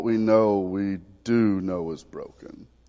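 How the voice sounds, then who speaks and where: He is a man speaking with a Southern US accent. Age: 40s. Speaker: pastor. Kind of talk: Baptist sermon with earnest spoken pastoral prayer. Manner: prayerful and pleading, repeated 'Lord' interjections, mild stumbles; folksy and conversational, drawling Southern asides.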